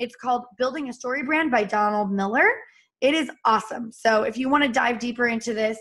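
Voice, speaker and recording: Her tone animated, a woman speaks at a fairly quick pace with a high pitch and ordinary pitch variation. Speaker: business trainer. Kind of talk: live training session. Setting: live stream. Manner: fast.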